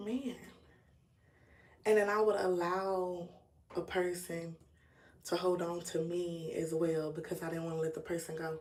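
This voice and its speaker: A woman speaks at a fairly slow pace with a fairly low pitch, fairly even intonation and long, frequent pauses, with audible room echo around her. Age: 30s. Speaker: YouTuber. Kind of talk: casual livestream talk. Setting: live stream.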